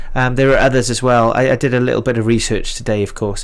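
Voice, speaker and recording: This man has a Welsh Valleys accent and a medium pitch. His intonation is monotone and flat. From Wales. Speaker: live stream music show host. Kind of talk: casual live stream chat. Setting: live stream.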